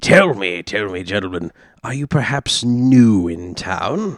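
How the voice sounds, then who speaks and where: Speaking at a fairly slow pace, a man uses a put-on character voice with a medium pitch. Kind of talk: posh gentlemanly affectation. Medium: actual play. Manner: pompous, flowery, self-promoting.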